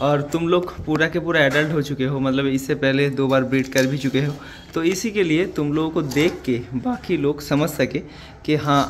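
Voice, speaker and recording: Over light background noise, a man talks at a moderate pace. His intonation stays fairly even. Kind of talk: casual tutorial narration. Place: farm. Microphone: phone near.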